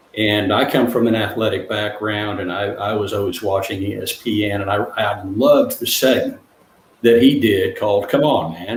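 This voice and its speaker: A man's fairly low voice at a moderate pace, with fairly even intonation over noticeable background noise. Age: 60s. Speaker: author and counselor for men. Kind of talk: interview. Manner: halting, many fillers.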